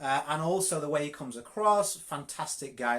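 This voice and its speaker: The voice has a Yorkshire accent and ordinary pitch variation. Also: man. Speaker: network marketing coach. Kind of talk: live coaching session. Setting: live video stream. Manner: direct, straight to the point.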